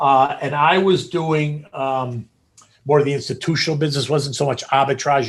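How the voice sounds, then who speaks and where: At a fairly quick pace, a man speaks in an American accent at medium pitch. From New England, outside Boston. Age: 60s. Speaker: former stock exchange floor trader. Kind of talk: interview storytelling. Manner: loud.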